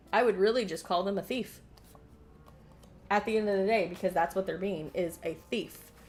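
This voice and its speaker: Music plays in the background as a woman with a medium pitch speaks in an animated tone at a moderate pace, leaving long, frequent pauses. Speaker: video game streamer. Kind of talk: live gameplay stream chat.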